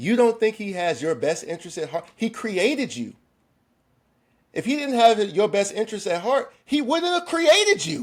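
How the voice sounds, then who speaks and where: Loud and animated, a man with a high voice talks at a moderate pace, his pitch swinging very widely. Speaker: podcast co-host. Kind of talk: casual chat.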